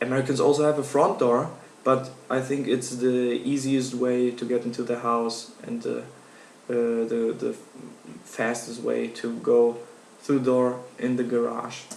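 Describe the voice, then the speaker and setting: The speaker talks at a fairly slow pace in a German accent, with monotone, flat intonation. Audible room echo and noticeable background noise surround the voice. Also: man, medium pitch for a man. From Germany. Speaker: university student. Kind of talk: class speech. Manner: halting.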